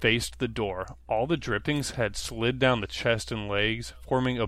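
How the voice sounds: In this natural reading voice, the pitch rises and falls by an ordinary amount.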